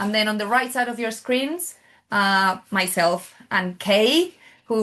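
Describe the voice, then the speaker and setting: Over a quiet background, a woman speaks at a moderate pace in a Spanish accent. Her pitch variation is ordinary. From Spain. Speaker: oncology nurse. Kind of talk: webinar moderation.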